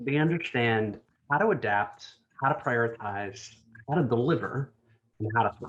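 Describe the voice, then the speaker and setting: A somewhat breathy man with an American accent, medium pitch and lively intonation. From New Jersey, US. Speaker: design executive. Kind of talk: conference talk. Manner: fast.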